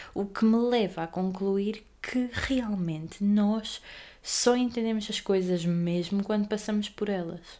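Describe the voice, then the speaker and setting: A woman speaks at medium pitch. Her tone is dark and mellow. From Portugal, Aveiro. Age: young. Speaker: podcaster. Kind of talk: casual monologue.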